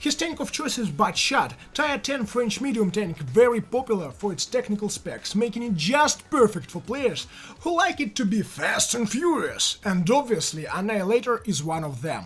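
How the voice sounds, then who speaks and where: Speaking at a moderate pace, a man with a Russian accent uses a high pitch and very wide pitch swings. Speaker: video game commentator. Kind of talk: gameplay commentary narration.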